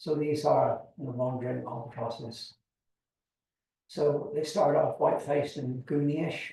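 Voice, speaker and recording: A man's fairly high pitch with vocal fry, a dark, mellow tone, fairly even intonation and a fairly slow pace. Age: 70s. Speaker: seabird expert. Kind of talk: lecture.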